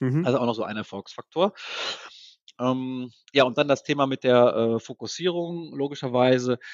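A man's medium-pitched voice with ordinary pitch variation, a moderate pace and long, frequent pauses. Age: 40s. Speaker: software entrepreneur. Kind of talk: interview. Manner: hesitant, many fillers.

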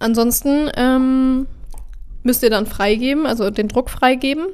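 A woman talks at a very slow pace, leaving long, frequent pauses. Her pitch is high. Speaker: podcast host for a print company. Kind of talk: casual solo podcast explainer with sales pitch. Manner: chatty, with many fillers.

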